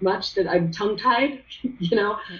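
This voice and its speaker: Noticeable background noise runs under a woman who talks fairly quickly. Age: 50s. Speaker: esthetician and business consultant. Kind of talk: interview. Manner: animated.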